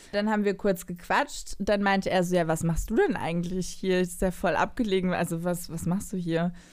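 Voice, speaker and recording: Speaking in a normal speaking voice at medium pitch, a woman keeps a moderate pace, fairly even intonation and very even loudness with hardly any pauses, on a very clean recording with a silent background. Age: 20s. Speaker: TV media worker, dating guest. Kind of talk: casual chat.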